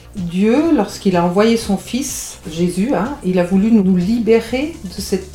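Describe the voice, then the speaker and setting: Over noticeable background noise and audible room echo, a woman speaks at a medium pitch. Her intonation is lively. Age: 60s. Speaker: marriage and family counselor. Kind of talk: radio interview.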